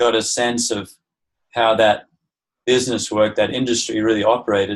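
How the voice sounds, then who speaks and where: A man with an Australian accent, medium pitch and monotone, flat intonation. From Australia, also Southeast Asia and US. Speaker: permaculture teacher. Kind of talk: interview.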